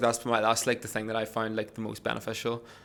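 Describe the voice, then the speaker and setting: This is a man speaking at a medium pitch. He has an Irish accent. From Ireland. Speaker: podcast host. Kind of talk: podcast conversation.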